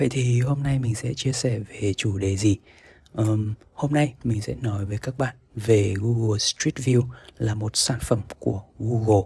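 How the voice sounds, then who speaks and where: Quiet and somewhat breathy, a man speaks at a fairly slow pace in a dark, mellow tone of medium pitch with ordinary pitch variation. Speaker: tech podcast host. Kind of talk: solo podcast monologue. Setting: small bedroom at home, late night. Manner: quiet, low volume.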